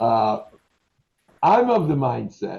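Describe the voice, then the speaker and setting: A man speaks with a New York accent. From New York, Brooklyn. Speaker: restaurant trainer. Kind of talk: staff training meeting. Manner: animated.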